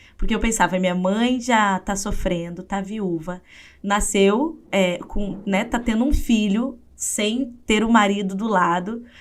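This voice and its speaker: Speaks with a strong southern Brazilian accent at a very slow pace. The pitch varies in an ordinary way. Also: woman, medium pitch for a woman. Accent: gaúcho Brazilian Portuguese, strong. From southern Brazil, interior of Rio Grande do Sul. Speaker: psychologist and writer. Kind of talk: interview testimony.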